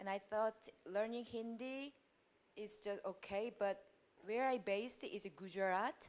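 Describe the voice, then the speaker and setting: Using a Korean accent, a woman talks at a fairly slow pace with a fairly high pitch and fairly even intonation. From South Korea. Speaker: university lecturer. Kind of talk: audience question. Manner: halting.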